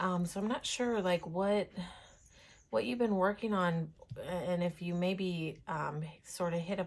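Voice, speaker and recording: Somewhat breathy woman's voice, fairly low in pitch, with ordinary pitch variation and a fairly slow pace. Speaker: tarot reader. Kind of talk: tarot reading. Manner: giggles while talking; halting, many fillers.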